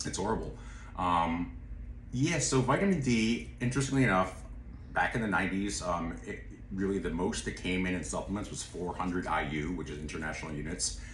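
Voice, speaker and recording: A man with a very deep, low pitch speaks at a fairly quick pace. His pitch swings very widely, and there is audible room echo. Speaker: nutraceutical expert. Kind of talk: casual chat. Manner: fast.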